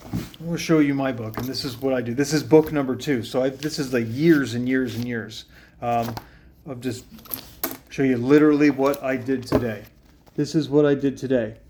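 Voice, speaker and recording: Intonation stays fairly even as a man speaks at medium pitch. He has a normal speaking voice. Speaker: fitness coach. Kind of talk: casual fitness tutorial to camera.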